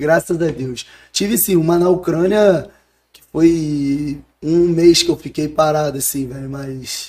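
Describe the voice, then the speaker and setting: Speaking at a very slow pace, a man with a fairly high pitch and ordinary pitch variation shows big swings in loudness. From Rio de Janeiro, Brazil. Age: 20s. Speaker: professional footballer. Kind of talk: casual chat.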